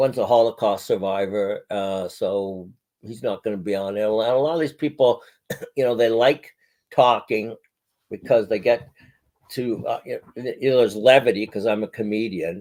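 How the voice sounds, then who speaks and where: With an unremarkable speaking voice, this man holds a medium pitch and shows ordinary pitch variation. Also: moderate pace. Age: 60s. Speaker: podcaster and comedian. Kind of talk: casual chat.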